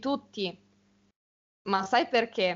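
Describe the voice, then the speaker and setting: A woman speaks in a normal speaking voice with a fairly high pitch. Her pitch variation is ordinary. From Italy, small village. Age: young. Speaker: university student. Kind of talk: casual conversation for Italian learners.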